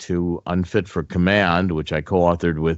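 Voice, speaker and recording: A man with a very deep, low pitch at a moderate pace against a quiet background. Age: 70s. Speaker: author and political analyst. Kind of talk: interview.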